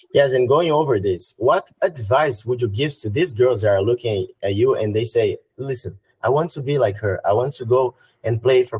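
A somewhat breathy male voice with a Brazilian accent, ordinary pitch variation, and a dry, close sound with no echo. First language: Portuguese. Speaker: podcast host. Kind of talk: interview in English.

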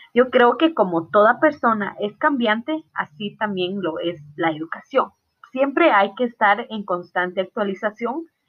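A woman speaks with a Guatemalan accent. Her pitch is fairly high, and her intonation is lively. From Guatemala, Totonicapán. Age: 20s. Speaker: student. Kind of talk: class presentation.

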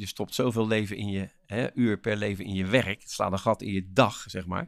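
On a very clean recording with a silent background, a man with a fairly low pitch speaks at a fairly slow pace. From Rotterdam, Netherlands. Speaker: motivational speaker and author. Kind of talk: interview. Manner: energetic; animated.

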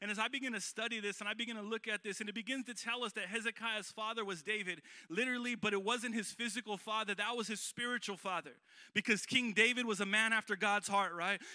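High-pitched and very fast, a man projects a raised voice in an animated, warm tone that is also bright and sharp. The sound is dry and close with no echo. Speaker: guest preacher. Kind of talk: sermon delivered live to a congregation, with call-and-response. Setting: church. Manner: animated, warm and exhortatory, building to bold rallying calls; conversational and folksy, with frequent fillers and repeated phrases.

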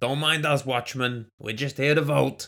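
A man uses a put-on character voice at a medium pitch. He keeps a moderate pace. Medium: audio drama. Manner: gruff, casual, sardonic.

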